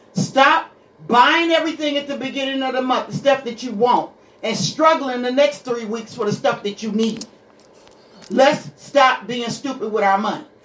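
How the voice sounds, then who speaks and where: A woman's high-pitched, animated voice against noticeable background noise. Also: ordinary pitch variation, moderate pace. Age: 60s. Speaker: radio show guest, host's mother. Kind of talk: casual chat.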